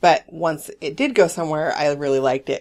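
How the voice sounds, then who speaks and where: This put-on character voice is raspy, sitting at a middle pitch and moving at a fairly quick pace. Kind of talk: casual conversation.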